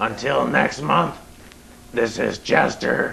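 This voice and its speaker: Putting on a character voice, a raspy man with a fairly low pitch speaks at a very slow pace over clear background noise. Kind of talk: horror host show banter.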